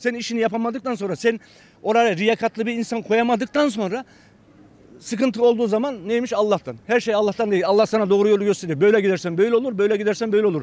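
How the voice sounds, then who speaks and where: A man talks at a very fast pace in a high pitch, with ordinary pitch variation and a dry sound with no echo. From Turkey. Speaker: conservative citizen, street interviewee; interviewee. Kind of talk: street interview. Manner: animated. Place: street. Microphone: handheld.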